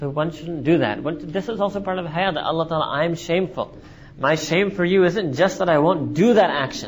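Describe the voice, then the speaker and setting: With an American accent, a man talks at a fairly quick pace in a high voice with ordinary pitch variation over noticeable background noise. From New York City, USA. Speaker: Islamic scholar and lecturer. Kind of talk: religious lecture.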